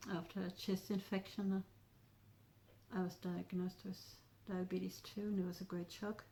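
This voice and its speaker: In a dark, mellow tone, a somewhat breathy woman speaks at a moderate pace with monotone, flat intonation and long, frequent pauses. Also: medium pitch for a woman. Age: 80s+. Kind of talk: interview answer.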